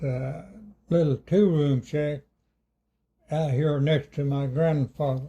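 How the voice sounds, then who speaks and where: With an Appalachian accent, a man speaks very slowly in a fairly high pitch, somewhat breathy with a dark, mellow tone and long, frequent pauses. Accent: Appalachian Southern US. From Claiborne County, East Tennessee. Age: 80s+. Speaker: elderly rural interviewee. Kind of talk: oral history interview. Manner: halting.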